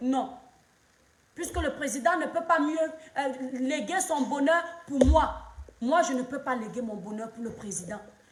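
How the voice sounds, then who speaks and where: A woman with a high pitch talks at a fairly slow pace. Audible room echo and noticeable background noise surround her voice. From Cameroon. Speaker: social media commentator, live streamer. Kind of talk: live stream monologue, political commentary. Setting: live stream at home, children present. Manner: impassioned.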